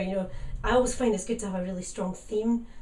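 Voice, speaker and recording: A woman's voice in a Scottish accent, with audible room echo and noticeable background noise. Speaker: singer-songwriter. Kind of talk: radio interview.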